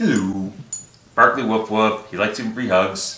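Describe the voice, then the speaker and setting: A man uses a put-on character voice at a medium pitch. He speaks at a moderate pace with a slight echo. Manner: lovable, warm.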